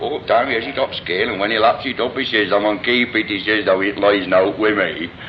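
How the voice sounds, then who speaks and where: This man talks very fast, with hardly any pauses, at a fairly low pitch and fairly even intonation. Noticeable background noise is present. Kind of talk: reminiscing anecdotes.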